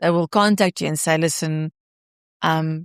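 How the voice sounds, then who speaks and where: A woman talks at a fairly slow pace in a very deep, low pitch with fairly even intonation. The recording is very clean, with a silent background and a dry, close sound with no echo. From South Africa, Pretoria. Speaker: actress and director. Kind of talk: podcast interview answer.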